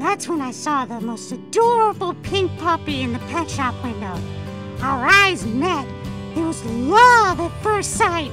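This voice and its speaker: A cartoonish character voice, female-sounding, moves at a fairly slow pace. Clear music plays in the background. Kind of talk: cartoon character monologue. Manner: upbeat, chatty.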